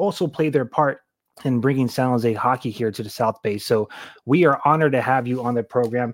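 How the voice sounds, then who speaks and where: A man with an American accent and an ordinary speaking voice, medium pitch, fairly even intonation and moderate pace, in a dry, close recording with no echo. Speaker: podcast host. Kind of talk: casual interview.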